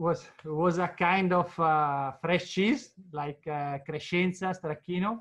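Speaking at a very slow pace with a high pitch and ordinary pitch variation, a man with an Italian accent is heard against a quiet background. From northern Italy, Lombardy. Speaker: cheese producer. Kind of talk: interview. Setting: video call. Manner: halting. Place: office. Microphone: video call.

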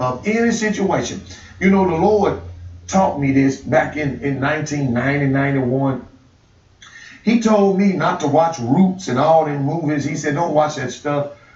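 A man speaks at a fairly slow pace, with audible echo from the room. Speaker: pastor. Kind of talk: sermon. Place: studio.

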